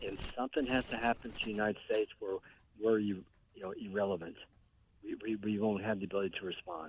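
A man with an American accent talks at a very fast pace, his fairly low pitch held in fairly even intonation. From Bulverde, Texas. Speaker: caller. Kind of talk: casual chat. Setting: phone call.

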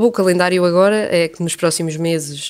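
A woman with a European Portuguese accent and fairly even intonation. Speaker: international news editor. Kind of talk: radio interview. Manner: hesitant, many fillers.

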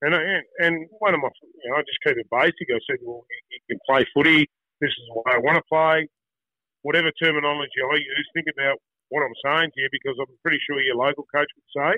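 A man's fairly high voice with an Australian accent, at a fairly quick pace with fairly even intonation. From Tasmania, Australia (Wynyard). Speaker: former footballer and school football coach. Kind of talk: casual interview. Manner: halting, with many repeated words.

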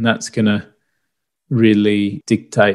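A man with an Australian accent speaks at a very slow pace with a fairly low pitch and monotone, flat intonation, on a very clean recording with a silent background. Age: 30s. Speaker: property investment podcast host. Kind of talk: solo podcast explainer.

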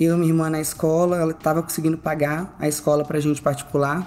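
A woman with a very deep, low pitch speaks at a very fast pace with fairly even intonation. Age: 20s. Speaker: financial consultant. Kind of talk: casual interview.

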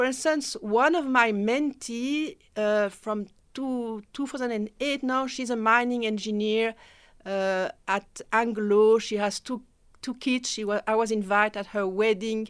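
A woman with a French accent speaks at a fairly high pitch and fairly slow pace, with ordinary pitch variation. The recording is very clean, with a silent background. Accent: French-speaking. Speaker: mentorship program director. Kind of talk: radio interview. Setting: radio studio.

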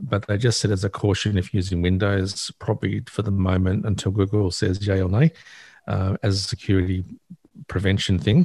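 A man's fairly low, somewhat breathy voice with a dark, mellow tone and an Australian accent, fairly quick, over a quiet background. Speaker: access technology advisor, regular tech commentator. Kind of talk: casual radio chat about technology.

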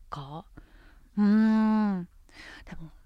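In a very clean recording with a silent background, a woman talks. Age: 30s. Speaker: radio host. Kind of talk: casual chat.

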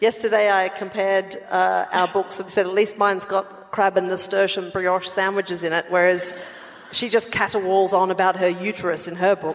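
With noticeable background noise behind her, a woman in an Australian accent talks at a moderate pace and a medium pitch. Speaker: podcast co-host. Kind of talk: live podcast recording, casual banter. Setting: stage with audience. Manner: animated.

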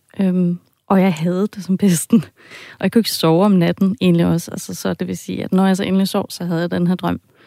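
On a very clean recording with a silent background, dry and close with no echo, a woman with a fairly low pitch and a dark, mellow tone talks at a fairly quick pace in a monotone, flat intonation. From half German, half Danish. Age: 40s. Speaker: podcast editor, listener with a dream. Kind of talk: interview, personal account. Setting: radio studio.

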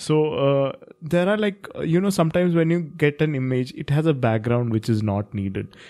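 Talking at a moderate pace, a man has a fairly high, dark and mellow voice with lively intonation. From India. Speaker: podcast co-host, writer. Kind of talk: casual chat.

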